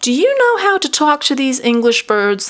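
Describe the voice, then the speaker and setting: At a moderate pace, a woman performs a put-on character voice pitched high. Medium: read story.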